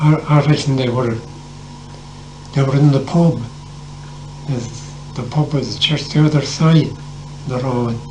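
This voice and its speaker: In an Irish accent, a man talks fairly slowly with long, frequent pauses, his fairly high voice flat and monotone. Noticeable background noise runs underneath. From Ireland. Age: 80s+. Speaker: former Irish civil war fighter. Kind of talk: storytelling interview answer. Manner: hesitant, halting.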